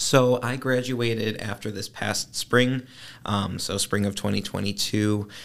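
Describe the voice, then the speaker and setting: A man with an American accent talks at a fairly slow pace and a medium pitch. He has an ordinary speaking voice with fairly even intonation. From northern Illinois, Chicago suburbs. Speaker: graduate student. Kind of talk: interview.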